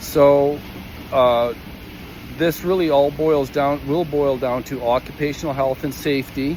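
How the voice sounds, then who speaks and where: With a Western Canadian accent, a man speaks in a fairly high pitch with monotone, flat intonation over noticeable background noise. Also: fairly slow pace. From Calgary, Canada. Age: 60s. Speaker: equipment operator. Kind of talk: personal testimony. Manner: halting, many fillers and repetitions.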